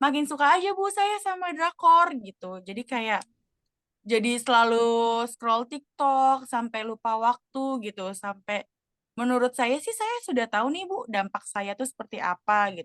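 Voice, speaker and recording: The voice moves through very wide pitch swings, with a dry, close sound and no echo. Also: woman, high pitch for a woman, big swings in loudness. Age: 20s. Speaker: role-play counseling client, student. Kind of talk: role-play counseling session. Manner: casual, hesitant with fillers.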